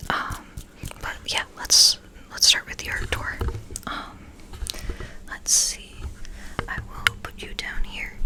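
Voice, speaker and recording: A whispering voice with a relaxed tone moves at a very slow pace with long, frequent pauses over noticeable background noise. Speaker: ASMR artist and painter. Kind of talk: casual talk to camera before starting. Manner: soft-spoken, relaxed.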